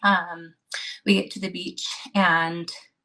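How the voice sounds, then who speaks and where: A woman's bright, sharp tone with vocal fry. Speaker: guest sharing pregnancy loss story. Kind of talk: testimony. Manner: fast.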